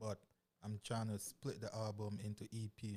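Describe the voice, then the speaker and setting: Speaking at a fairly slow pace, a man talks with a Jamaican accent. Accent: Caribbean (Jamaican). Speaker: hip hop artist. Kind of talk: casual interview. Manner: halting, many fillers.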